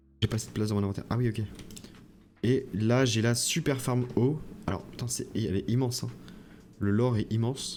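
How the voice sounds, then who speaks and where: Long, frequent pauses break up a man's fairly quick speech, delivered at medium pitch with fairly even intonation. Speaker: gaming youtuber. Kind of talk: gameplay commentary. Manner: hesitant with many fillers.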